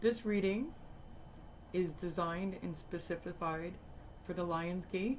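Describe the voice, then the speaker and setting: A woman speaks fairly slowly at a medium pitch with ordinary pitch variation. Audible room echo surrounds her voice. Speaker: tarot reader. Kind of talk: tarot reading. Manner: soft-spoken.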